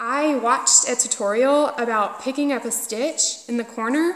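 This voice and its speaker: An animated woman with a high voice speaks in a strong Southern US accent. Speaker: knitting podcaster. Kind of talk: casual chat.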